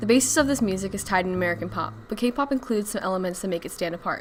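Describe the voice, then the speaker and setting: With noticeable background noise around her, a woman speaks very fast, varying her pitch in an ordinary way. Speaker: student. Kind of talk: documentary-style narration. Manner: some stumbles, read in one take.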